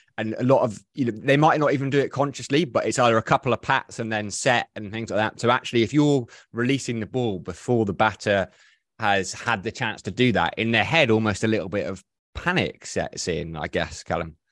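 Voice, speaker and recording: A man speaks at a fairly quick pace with lively intonation and medium pitch, an ordinary speaking voice. The background is quiet. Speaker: podcast host. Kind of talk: casual chat. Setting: video call.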